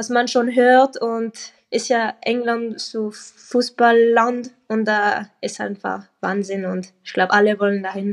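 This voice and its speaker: Speaking very slowly in a French-Swiss accent, a woman uses a high pitch with ordinary variation. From French-speaking Switzerland. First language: French (speaking German). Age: young. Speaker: professional footballer. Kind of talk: casual interview.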